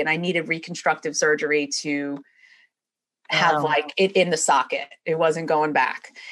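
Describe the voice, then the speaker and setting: Over a quiet background, a woman with a New York accent speaks at a moderate pace. Her intonation is fairly even. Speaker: chiropractor. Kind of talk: interview conversation.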